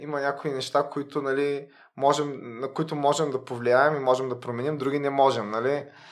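A normal speaking voice at a moderate pace. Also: man. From Bulgaria, Varna. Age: 30s. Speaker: lawyer. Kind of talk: casual interview.

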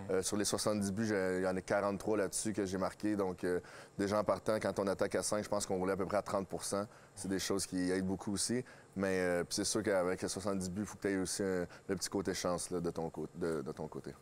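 Over light background noise, a man with a very deep, low pitch talks at a fairly quick pace in a flat, monotone delivery. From Quebec (Drummondville); Quebec. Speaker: hockey coach and former player; interviewee. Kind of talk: interview. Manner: halting. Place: stadium. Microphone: lapel.

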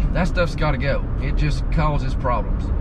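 Loud background noise surrounds a man's voice. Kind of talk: casual vlog chat. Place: car. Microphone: camera far.

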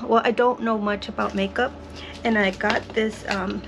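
A woman speaks at a slow pace with fairly even intonation while background noise is clearly heard.

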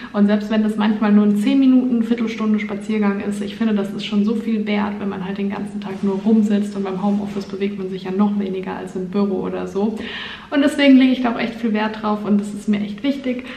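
A woman talks at a fairly quick pace in a flat monotone, with audible room echo. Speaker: vlogger. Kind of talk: casual vlog chat. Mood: relaxed, cheerful. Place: home room. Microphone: phone near.

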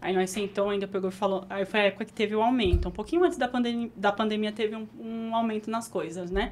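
Talking at a very fast pace with hardly any pauses, a woman with a fairly high pitch and ordinary pitch variation shows big swings in loudness. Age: 20s. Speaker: burger restaurant owner; guest. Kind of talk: interview conversation. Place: studio. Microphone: studio mic.

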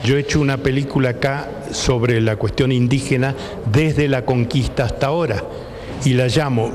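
A man speaks with a Rioplatense accent at a fairly quick pace. Light background noise is present. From Argentina. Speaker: documentary filmmaker. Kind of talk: interview. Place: hall. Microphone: handheld.

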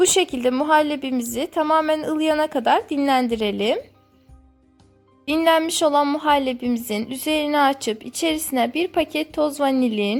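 A high-pitched woman with ordinary pitch variation and very even loudness, music in the background. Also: moderate pace. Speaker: cooking channel host. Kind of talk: recipe voice-over narration.

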